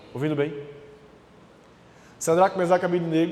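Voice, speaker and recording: A loud, high-pitched man's voice, monotone and flat, against noticeable background noise. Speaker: preacher. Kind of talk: sermon.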